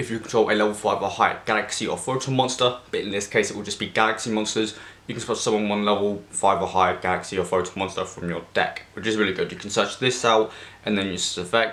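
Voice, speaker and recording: Over noticeable background noise, a man talks at a very fast pace with a fairly low pitch and fairly even intonation. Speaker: card game content creator. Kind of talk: deck profile tutorial.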